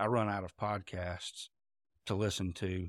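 With a Southern US accent, this voice has fairly even intonation in a dry, close sound with no echo, on a very clean recording with a silent background. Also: man. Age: 40s. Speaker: pastor and farmer. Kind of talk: casual interview.

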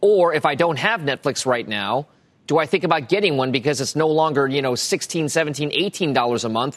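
A man speaks at a moderate pace with a plain, everyday voice, fairly high pitch and ordinary pitch variation. The sound is dry and close with no echo, on a very clean recording with a silent background. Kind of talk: newsreading. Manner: brisk, crisp, authoritative anchor delivery.

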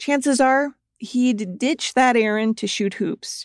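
With a plain, everyday voice, a woman speaks at a moderate pace with ordinary pitch variation, in a very clean recording with a silent background and a dry, close sound with no echo. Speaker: true crime podcast host and narrator. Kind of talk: true-crime narration, scripted. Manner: measured, serious, storytelling; clear and even-paced.

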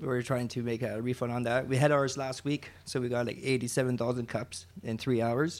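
A man's ordinary speaking voice at medium pitch, fairly quick with hardly any pauses and fairly even intonation. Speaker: operations manager at a recycling nonprofit. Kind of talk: casual interview.

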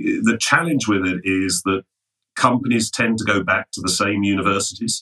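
A man's bright, sharp, fairly low voice with an English accent, ordinary pitch variation, a moderate pace and a dry, close sound with no echo. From England, London. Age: 60s. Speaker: finance executive. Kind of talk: interview.

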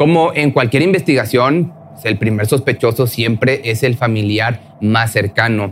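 Noticeable background noise sits behind a man speaking at a fairly slow pace. His voice is medium-pitched, with ordinary pitch variation. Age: 30s. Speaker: true crime podcast narrator. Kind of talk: scripted storytelling narration.

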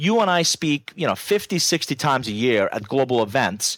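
A man with a Persian accent talks at a fairly quick pace, his pitch swinging very widely. The sound is dry and close, with no echo. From Iran. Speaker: business author and keynote speaker. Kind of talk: casual interview chat.

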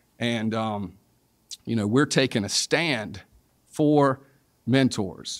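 In a Southern US accent, a man at medium pitch talks at a very slow pace with ordinary pitch variation and long, frequent pauses. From South Carolina. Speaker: sports and entertainment lawyer. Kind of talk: interview.

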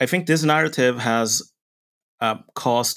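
In a very clean recording with a silent background, a man uses a normal speaking voice at a moderate pace with ordinary pitch variation. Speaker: essayist and political commentator. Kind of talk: podcast interview on geopolitics.

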